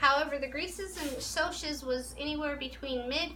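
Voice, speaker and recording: Against noticeable background noise, a woman uses a raised, projected voice at a moderate pace with ordinary pitch variation. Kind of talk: interview questions to a school class.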